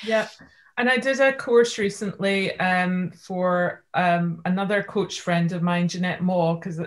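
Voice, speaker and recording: On a very clean recording with a silent background, a woman with a Scottish accent speaks at a fairly slow pace in a somewhat breathy voice. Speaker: life coach. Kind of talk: interview.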